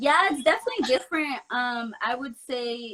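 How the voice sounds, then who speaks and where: A woman with an American accent speaks at a fairly slow pace. Her pitch is fairly high, with ordinary variation. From North County San Diego, California. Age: young. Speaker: barber and model. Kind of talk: interview.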